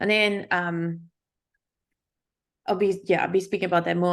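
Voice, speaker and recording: In a South African accent, a woman speaks at a medium pitch with fairly even intonation. The background is quiet. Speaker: UX designer, workshop speaker. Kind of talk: workshop presentation.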